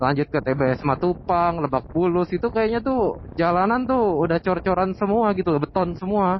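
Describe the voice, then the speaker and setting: Talking at a moderate pace with hardly any pauses, a man uses a high pitch and lively intonation while his loudness stays very even. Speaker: motovlogger. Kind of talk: casual vlog while riding. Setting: riding motorcycle outdoors.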